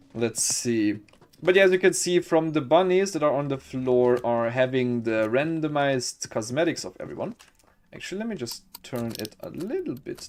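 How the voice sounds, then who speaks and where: Someone with a non-native accent speaks at a moderate pace over noticeable background noise. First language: not English. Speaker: gaming streamer. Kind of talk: gameplay commentary. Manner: animated; halting.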